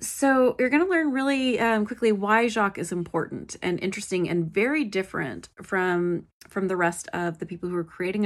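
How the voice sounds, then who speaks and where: A woman of medium pitch in a relaxed tone, at a fairly quick pace with hardly any pauses and lively intonation, against a quiet background. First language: English; self-described poor French pronunciation. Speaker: solo history podcast host. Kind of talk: casual solo narration. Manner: frequent fillers, relaxed.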